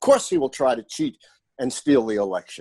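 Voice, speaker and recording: A man talks with an American accent. The sound is dry and close with no echo, over a quiet background. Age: 70s. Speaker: professor. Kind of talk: podcast interview.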